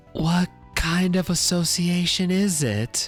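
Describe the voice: A strained, put-on character voice at middle pitch moves at a fairly slow pace while clear music plays in the background.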